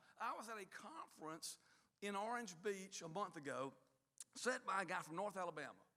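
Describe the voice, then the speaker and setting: A man speaks in a raised, projected voice with a bright, sharp tone and high pitch. His pace is moderate, and his pitch varies in an ordinary way. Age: 60s. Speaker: university leader. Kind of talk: speech to staff.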